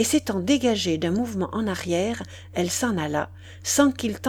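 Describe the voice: The text is read out plainly, its intonation lively.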